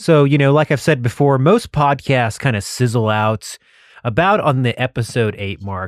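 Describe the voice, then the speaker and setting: A man with an American accent and medium pitch speaks with a dry, close sound with no echo over a quiet background. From Texas. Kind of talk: casual monologue.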